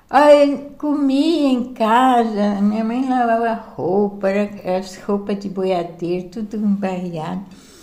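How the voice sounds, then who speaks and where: A woman's fairly high voice at a very slow pace, with ordinary pitch variation and audible room echo. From interior of São Paulo state, Brazil (Sertãozinho, near Ribeirão Preto). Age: 70s. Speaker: grandmother sharing life memories. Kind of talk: casual family chat. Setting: informal home recording.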